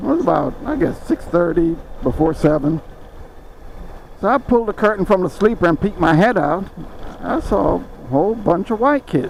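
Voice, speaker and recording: Over noticeable background noise, a man with a high pitch and a relaxed tone talks at a moderate pace, his pitch swinging very widely. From Jamaica. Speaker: motorcycle vlogger, former truck driver. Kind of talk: casual storytelling vlog. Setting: outdoors on a motorcycle ride. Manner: relaxed, hesitant with fillers.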